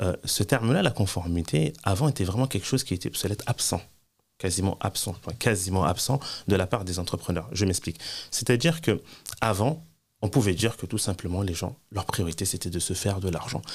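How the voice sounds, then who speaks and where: A man with a fairly low pitch speaks at a fairly quick pace, somewhat breathy and with lively intonation. The recording is very clean, with a silent background. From France. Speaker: Islamic teacher and compliance consultant. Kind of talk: interview.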